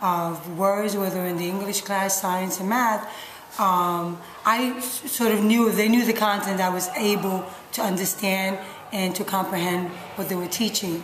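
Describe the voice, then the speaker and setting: With a New York accent, a woman speaks fairly slowly in a medium pitch with fairly even intonation, over noticeable background noise and audible room echo. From New York City, Puerto Rican parents. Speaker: middle school science teacher. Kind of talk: interview.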